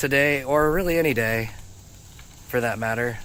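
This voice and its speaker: There is audible room echo as a man speaks. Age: 40s. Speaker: streamer showing home renovation. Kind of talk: casual chat.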